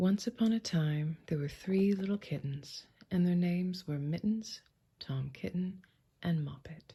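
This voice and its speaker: The voice is soft-spoken and calm in tone, moving at a fairly slow pace. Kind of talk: soft-spoken bedtime story reading. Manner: soft-spoken, calm, slow.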